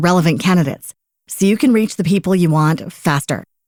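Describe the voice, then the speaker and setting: Recorded with a dry, close sound and no echo, a woman with a normal speaking voice speaks at a fairly quick pace, her medium pitch showing ordinary pitch variation. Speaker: ad announcer. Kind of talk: radio commercial read.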